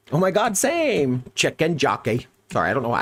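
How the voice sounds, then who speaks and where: With an American accent, a man speaks with vocal fry. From US Midwest. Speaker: gaming streamer. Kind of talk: live stream chat. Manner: casual, upbeat.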